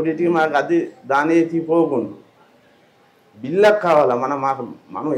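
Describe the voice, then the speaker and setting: A man's high-pitched voice is heard over noticeable background noise. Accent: Sri Lankan. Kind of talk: interview answer.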